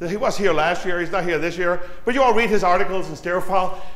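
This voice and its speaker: A man speaks loudly at a very fast pace in an animated tone. Audible room echo surrounds him. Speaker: audio engineer giving a talk. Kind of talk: technical presentation to an audience. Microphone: too quiet at first, moves closer to mic.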